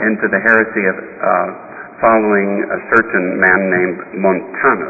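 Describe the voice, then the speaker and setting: Background noise is noticeable throughout. The speech keeps fairly even intonation. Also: man. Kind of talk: sermon. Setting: church. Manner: formal, earnest, measured pulpit delivery; admonishing, grave about the church's troubles.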